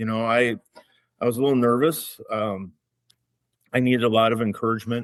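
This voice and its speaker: Talking at a fairly quick pace, a man with a slight Minnesotan accent leaves long, frequent pauses. His medium-pitched voice keeps fairly even intonation. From Minnesota, Minneapolis-Saint Paul area. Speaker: wine educator and small business owner. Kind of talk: casual interview.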